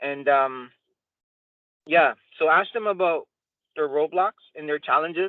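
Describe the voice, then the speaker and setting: Delivered at a fairly slow pace, the speech has ordinary pitch variation and long, frequent pauses. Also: man, fairly high pitch for a man. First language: Spanish. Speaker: software salesperson and mentor. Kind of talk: mentorship training talk.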